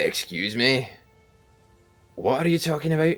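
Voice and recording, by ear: Putting on a gruff, raspy character voice at a fairly high pitch, a man talks at a moderate pace with faint music in the background.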